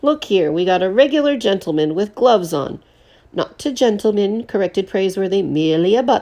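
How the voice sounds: In a natural reading voice, the intonation stays lively.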